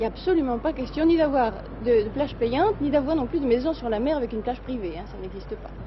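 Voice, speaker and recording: Amid noticeable background noise, a woman talks at a very fast pace with big swings in loudness. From France. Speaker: French emigrant living abroad. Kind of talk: interview. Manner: hesitant.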